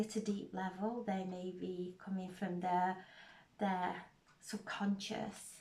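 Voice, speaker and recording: Soft-spoken and somewhat breathy, the voice moves at a very slow pace. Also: woman. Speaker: tarot reader. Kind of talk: spiritual tarot reading.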